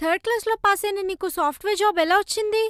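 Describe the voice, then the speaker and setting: A woman's squeaky, put-on character voice at an extremely high pitch, with fairly even intonation and a fairly quick pace. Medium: short film. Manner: blunt, quick-tempered.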